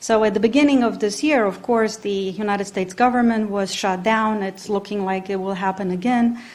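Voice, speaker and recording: In a Romanian accent, the speaker moves at a fairly quick pace with hardly any pauses. Intonation stays fairly even, and audible room echo surrounds the voice. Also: woman, medium pitch for a woman. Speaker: professor. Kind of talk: conference talk. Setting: conference with audience. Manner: hesitant, many fillers.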